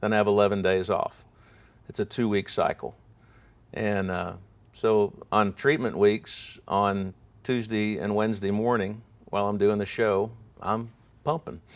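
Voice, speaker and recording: A man talks in a fairly low pitch with fairly even intonation. He leaves long, frequent pauses on a very clean recording with a silent background. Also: fairly slow pace. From Ohio. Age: 60s. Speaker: sports broadcaster. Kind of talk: interview conversation.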